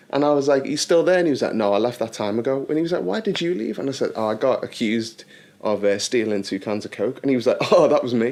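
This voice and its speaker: A man with a Liverpool accent talks at a very fast pace with lively intonation. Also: medium pitch for a man. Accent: Liverpool (Scouse). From Liverpool, England. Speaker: actor. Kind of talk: casual chat. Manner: animated storytelling.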